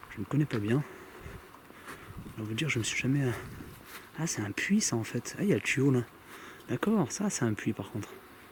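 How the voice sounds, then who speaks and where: Over noticeable background noise, a soft-spoken man with a medium pitch talks at a fairly quick pace with lively intonation. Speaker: paranormal investigator youtuber. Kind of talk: solo vlog narration. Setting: outdoors.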